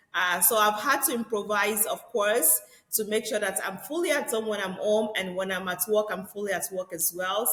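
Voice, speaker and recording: Against noticeable background noise, a woman speaks with a Nigerian accent at a moderate pace. Her pitch is fairly high, with ordinary variation. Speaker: real estate agent. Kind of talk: podcast interview.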